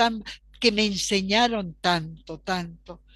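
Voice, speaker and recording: A woman's bright, sharp tone at a very slow pace over a quiet background. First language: Polish (speaking Spanish). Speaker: archivist and professor. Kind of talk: interview.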